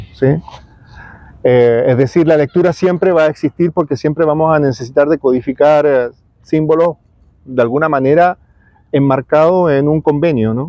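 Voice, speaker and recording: A man at a moderate pace, fairly high in pitch. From Chile. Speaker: writer. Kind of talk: interview. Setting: outdoors in a park. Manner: halting, many repetitions and fillers.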